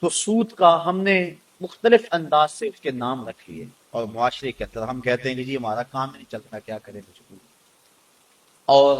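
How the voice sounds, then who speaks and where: Heard in a dry, close sound with no echo, a man uses a medium pitch with very wide pitch swings. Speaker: Islamic scholar giving a sermon. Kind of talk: religious sermon (bayan). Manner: emotional, emphatic delivery.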